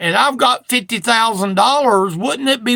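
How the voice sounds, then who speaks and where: A man speaks in a raised, projected voice with a bright, sharp tone, his pitch extremely high and its variation ordinary. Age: 60s. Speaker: preacher. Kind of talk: sermon. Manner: casual.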